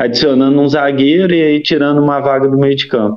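In a rural Minas Gerais accent, a man speaks at a fairly high pitch. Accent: Minas Gerais countryside. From interior of Minas Gerais, Brazil. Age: 30s. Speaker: football podcast guest, fan commentator. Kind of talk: casual chat.

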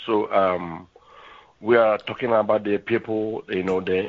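A man with a plain, everyday voice talks at a fairly slow pace, his pitch fairly low. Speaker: scammer on phone. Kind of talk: phone call, scammer pitch. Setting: phone call.

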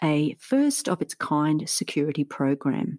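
Her pitch swings very widely as a woman with an Australian accent speaks at a fairly slow pace, somewhat breathy. The sound is dry and close with no echo, and the recording is very clean with a silent background. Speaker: podcast host, teacher. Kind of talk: scripted narration.

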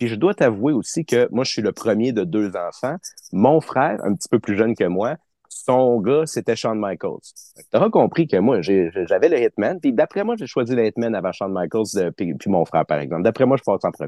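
A man's normal speaking voice, medium in pitch, with lively intonation at a moderate pace. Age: 30s. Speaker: wrestling fan. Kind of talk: interview.

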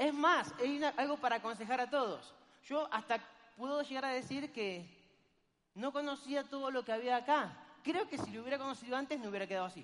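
A man with a Rioplatense accent speaks at an extremely high pitch and a fairly quick pace, with ordinary pitch variation. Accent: Argentine Spanish (rioplatense, voseo). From Argentina. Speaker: network marketing speaker. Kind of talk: motivational seminar talk.

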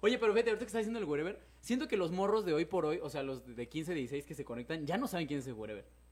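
Animated and very fast with hardly any pauses, a man speaks at a fairly high pitch through very wide pitch swings. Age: 30s. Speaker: podcast host. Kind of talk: casual chat. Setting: live stream.

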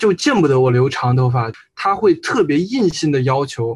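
Somewhat breathy and fairly high, a man's voice moves at a moderate pace with ordinary pitch variation. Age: 20s. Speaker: university student. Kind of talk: casual chat.

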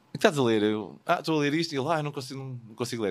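A man at a medium pitch talks very fast with ordinary pitch variation, in a very clean recording with a silent background. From Portugal. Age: 40s. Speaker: wedding photographer. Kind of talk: casual interview. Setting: studio.

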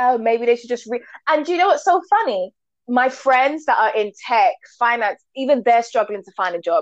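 Her high-pitched voice has lively intonation and big swings in loudness, captured with a dry, close sound and no echo. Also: moderate pace. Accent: London. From UK, Jamaican parents. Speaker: co-host. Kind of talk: casual chat.

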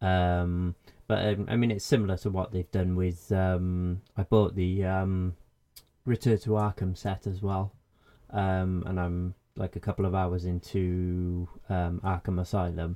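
A man's very deep, low voice with a dark, mellow tone, flat monotone intonation, a fairly slow pace, a British accent and a dry, close sound with no echo. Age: 30s. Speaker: gaming website editor. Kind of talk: casual chat. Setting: video call.

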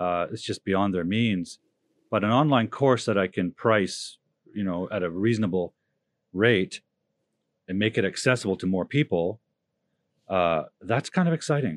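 A fairly low-pitched man speaks at a moderate pace with ordinary pitch variation and long, frequent pauses. The sound is dry and close, with no echo, over a quiet background. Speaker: language coach. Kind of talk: casual chat.

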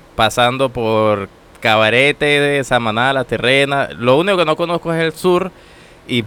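At a fairly slow pace, a man with a normal speaking voice and medium pitch speaks with ordinary pitch variation. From Venezuela, Táchira (San Cristóbal). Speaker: systems engineer, immigrant. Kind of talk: casual interview. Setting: studio.

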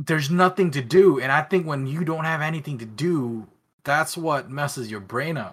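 A man with a somewhat breathy, fairly high voice speaks at a moderate pace with ordinary pitch variation, on a very clean recording with a silent background. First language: not English. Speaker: cosplay and prop-making influencer. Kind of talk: casual interview chat.

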